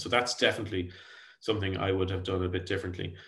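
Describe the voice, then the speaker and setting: In an Irish accent, a man speaks with monotone, flat intonation. His pitch is fairly low. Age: 40s. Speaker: tech company founder and CEO. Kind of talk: podcast interview. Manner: halting, frequent repetitions.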